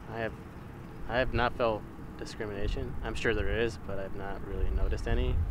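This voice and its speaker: There's audible room echo as a man speaks at a fairly quick pace. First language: Spanish. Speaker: interviewee in student documentary. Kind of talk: interview testimony.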